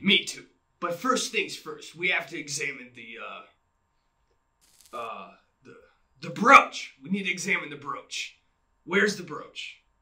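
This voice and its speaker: A man puts on a character voice, raised and projected in a high pitch at a moderate pace. His loudness swings widely, and he leaves long, frequent pauses. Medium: stage.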